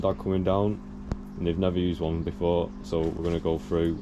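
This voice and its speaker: This man talks at a fairly quick pace. His pitch is very deep and low. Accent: Northern English. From Northern England. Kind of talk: casual how-to demonstration to camera. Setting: outdoors, garden.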